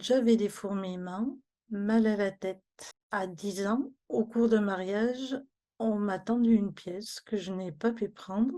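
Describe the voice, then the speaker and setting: Speaking at a very slow pace, a woman has a dark, mellow tone. Her pitch is medium, with ordinary variation. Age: 60s. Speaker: migraine patient giving testimony. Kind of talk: testimony.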